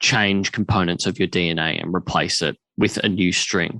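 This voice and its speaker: In an Australian accent, a man with a fairly low pitch and a bright, sharp tone speaks at a moderate pace, the sound dry and close with no echo against a quiet background. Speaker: podcast host. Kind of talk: podcast interview talk.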